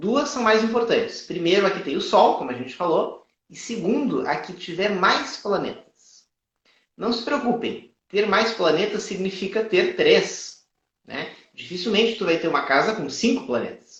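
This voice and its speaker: A man talks with lively intonation in a high pitch. The room echo is audible. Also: fairly slow pace. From Brazil, Rio Grande do Sul. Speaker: astrologer. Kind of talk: live astrology consultation and teaching. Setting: live stream.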